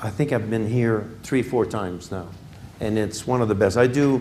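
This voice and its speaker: A man's dark, mellow voice at medium pitch with ordinary variation and a fairly slow pace, in audible room echo. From Quebec, Canada. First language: French (speaking Spanish). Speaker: business executive, guest speaker. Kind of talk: lecture.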